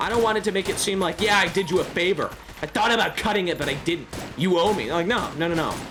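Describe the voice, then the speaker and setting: The voice moves at a very fast pace against noticeable background noise. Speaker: gaming streamer. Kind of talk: live gameplay stream chat. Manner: loud; talkative, rambling with many restarts.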